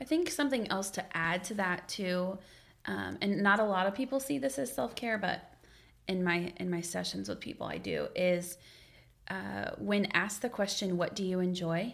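The speaker has vocal fry and ordinary pitch variation. The pace is moderate. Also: woman, medium pitch for a woman. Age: 20s. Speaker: therapist. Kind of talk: casual chat.

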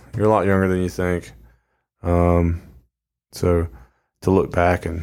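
Very deep and low, a man's dark, mellow voice holds a monotone, flat intonation at a moderate pace. The recording is very clean, with a silent background. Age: 30s. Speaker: podcast host, Marine veteran. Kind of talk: casual monologue. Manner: halting, many fillers.

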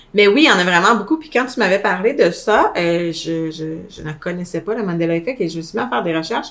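Through noticeable background noise, a woman talks at a fairly quick pace and medium pitch, with hardly any pauses, lively intonation and big swings in loudness. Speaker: podcast co-host. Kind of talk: casual chat. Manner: animated.

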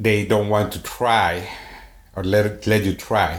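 Very slowly, a man talks at a fairly low pitch with vocal fry and a monotone, flat intonation. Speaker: podcast co-host, person in recovery. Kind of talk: casual chat.

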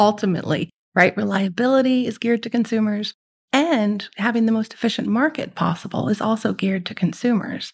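A woman with an American accent talks at a fairly quick pace in a fairly high, somewhat breathy voice with ordinary pitch variation. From Netherlands, French schools; later California. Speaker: economist. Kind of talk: interview.

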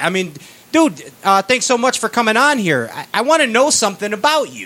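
Over noticeable background noise, a man with a Chicago accent speaks in a raised, projected voice at a moderate pace. His tone is animated, and his pitch swings very widely. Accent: Chicago American. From Chicago, US. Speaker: podcast host. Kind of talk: casual banter, interview. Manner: animated, jokey.

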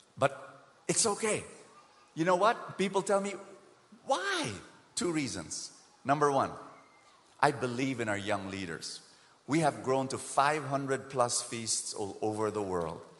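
Fairly slow delivery with very wide pitch swings and long, frequent pauses, amid noticeable background noise and audible room echo. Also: man, medium pitch for a man. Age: 50s. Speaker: preacher. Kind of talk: sermon. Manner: animated.

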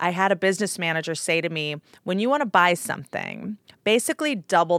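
A woman with an American accent uses a normal speaking voice, fairly low in pitch, at a fairly quick pace with lively intonation. The very clean recording has a silent background and a dry, close sound with no echo. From Washington, D.C. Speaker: podcast guest. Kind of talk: casual interview chat.

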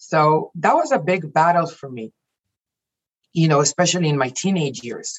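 A woman speaks at a fairly low pitch with lively intonation in a somewhat breathy voice. Her loudness swings widely, and she leaves long, frequent pauses. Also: moderate pace. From Israel. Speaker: life coach and executive. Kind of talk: casual interview chat.

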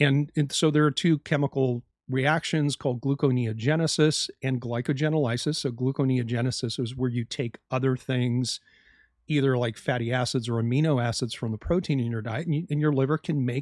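Here is a man with an ordinary speaking voice, medium in pitch, with ordinary pitch variation and a fairly quick pace. The recording is very clean, with a silent background and a dry, close sound with no echo. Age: 50s. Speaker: health podcast host, doctor. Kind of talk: solo educational podcast monologue.

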